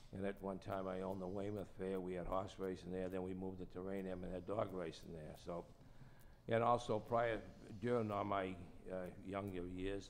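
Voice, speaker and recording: In a Boston accent, a man talks with a very deep, low pitch and monotone, flat intonation. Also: moderate pace. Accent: Boston-area New England. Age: 80s+. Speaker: racing and business executive. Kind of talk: testimony. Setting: public hearing before a commission. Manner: halting.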